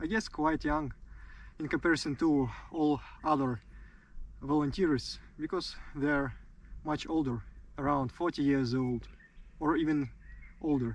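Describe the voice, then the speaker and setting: Pausing long and often, a man speaks at a fairly slow pace with fairly even intonation. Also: fairly high pitch for a man. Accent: Russian. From Russia. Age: 20s. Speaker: soldier. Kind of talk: interview. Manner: halting.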